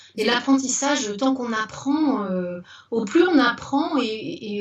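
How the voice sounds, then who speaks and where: A woman with a fairly high pitch talks fairly slowly, her intonation lively. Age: 60s. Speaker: retired teacher turned business owner. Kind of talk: interview. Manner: animated; halting, many repetitions and fillers.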